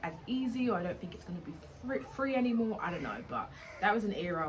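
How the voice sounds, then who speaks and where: A British-accented woman talks very fast with lively intonation. The recording carries audible room echo and noticeable background noise. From England (Essex, London). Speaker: travel vlogger. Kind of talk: casual vlog monologue.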